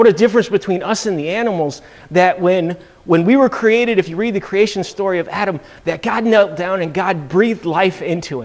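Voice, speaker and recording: A man speaks at a fairly quick pace in a high pitch. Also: ordinary pitch variation. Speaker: church teacher. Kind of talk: sermon-like class lecture. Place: church. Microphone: lapel.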